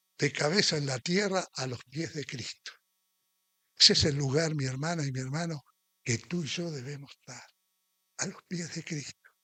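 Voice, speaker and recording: This man has a bright, sharp tone and a fairly high pitch, with ordinary pitch variation. He talks at a fairly slow pace in a dry, close sound with no echo. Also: long, frequent pauses, big swings in loudness. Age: 70s. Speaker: preacher. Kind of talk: sermon.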